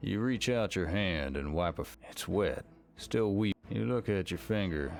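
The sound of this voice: Spoken at a fairly slow pace with lively intonation and some vocal fry, faint music plays in the background. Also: man, low pitch for a man.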